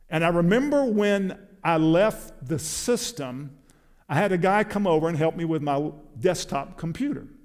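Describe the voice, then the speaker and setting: A man with an American accent speaks at a moderate pace in a high pitch. His intonation is lively, and there is audible room echo. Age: 60s. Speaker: preacher. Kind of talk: sermon.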